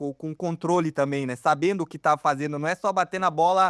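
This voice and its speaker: Moderate pace with ordinary pitch variation, in a very clean recording with a silent background and a dry, close sound with no echo. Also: man. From Brazil. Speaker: tennis podcast host. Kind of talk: casual chat.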